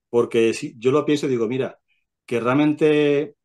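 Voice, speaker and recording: A man's voice with fairly even intonation over a quiet background. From Spain, Albacete, Castilla-La Mancha; Castilla-La Mancha, Spain. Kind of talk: testimony. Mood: calm, reflective. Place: home room. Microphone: video call.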